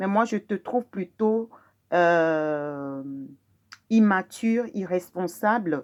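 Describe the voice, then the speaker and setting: A woman with a Togolese accent speaks at a very slow pace with long, frequent pauses. Her medium-pitched voice has lively intonation over a quiet background. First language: Mina (speaking French). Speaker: video blogger. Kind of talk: personal testimony. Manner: halting, frequent hesitations.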